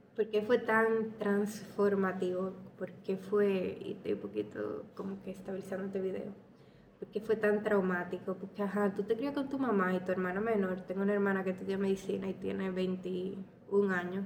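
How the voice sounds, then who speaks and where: Noticeable background noise sits behind a woman with a medium pitch. She talks at a moderate pace with monotone, flat intonation. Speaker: podcaster. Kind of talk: personal storytelling monologue. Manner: casual.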